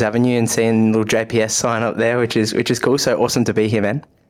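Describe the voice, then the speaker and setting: Over noticeable background noise, a man with an Australian accent talks at a fairly quick pace in a fairly low pitch. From Australia, Melbourne. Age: 20s. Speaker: podcast host and personal trainer. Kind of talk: casual interview.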